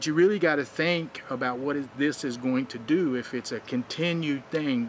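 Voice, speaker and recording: With hardly any pauses, a man talks at a moderate pace in a fairly high pitch, his pitch varying in an ordinary way, against noticeable background noise. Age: 60s. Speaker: wrestling advice vlogger. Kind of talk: vlog commentary. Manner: casual, conversational with fillers.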